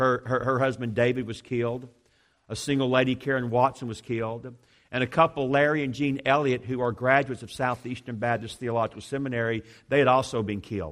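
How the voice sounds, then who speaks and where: The man has a plain, everyday voice at a medium pitch. He moves at a fairly quick pace with fairly even intonation. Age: 50s. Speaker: seminary president. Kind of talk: sermon. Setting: church.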